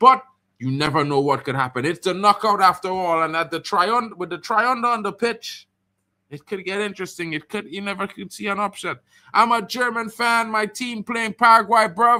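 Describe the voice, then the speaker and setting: Projecting a raised voice at a moderate pace, a man speaks with a high pitch and a bright, sharp tone in a very clean recording with a silent background. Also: lively intonation. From Trinidad. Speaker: football streamer. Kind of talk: live watchalong commentary. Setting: home stream, flags behind. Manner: animated.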